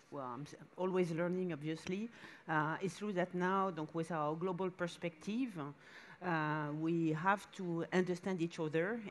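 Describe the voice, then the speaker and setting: Her voice fairly low in pitch, a woman with a French accent speaks with fairly even intonation. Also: fairly slow pace. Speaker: museum director. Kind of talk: panel discussion. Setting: stage with audience at a summit. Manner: halting. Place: stage. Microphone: headset.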